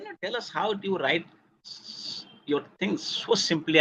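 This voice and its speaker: A man's bright, sharp tone with lively intonation. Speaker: sociology professor. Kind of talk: lecture.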